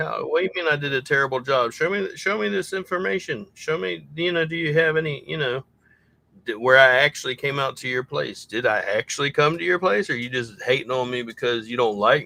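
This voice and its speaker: In a Southern US accent, a man talks at a fairly quick pace with a fairly high pitch and lively intonation. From US South. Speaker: SEO consultant for junk removal businesses. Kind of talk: casual livestream chat.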